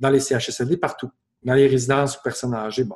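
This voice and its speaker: A man with a strong Quebec accent, medium in pitch and somewhat breathy. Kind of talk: webinar Q&A.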